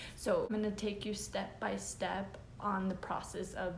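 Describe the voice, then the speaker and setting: Heard with light background noise and audible room echo, a woman speaks with fairly even intonation. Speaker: eBay reseller, YouTuber; online reseller. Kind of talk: tutorial. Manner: casual, filler-heavy. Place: home room. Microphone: phone near.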